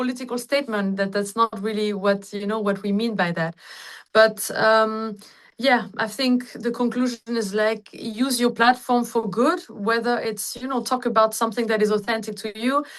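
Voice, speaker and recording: A woman with an unremarkable speaking voice speaks at a fairly high pitch and moderate pace, with ordinary pitch variation. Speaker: singer. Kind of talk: interview answer. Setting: video call.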